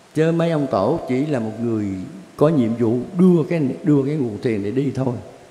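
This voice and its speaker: A man speaks at medium pitch with ordinary pitch variation. The room echo around him is audible. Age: 80s+. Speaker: Buddhist teacher answering questions. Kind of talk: religious Q&A session. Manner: rambling, conversational. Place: hall.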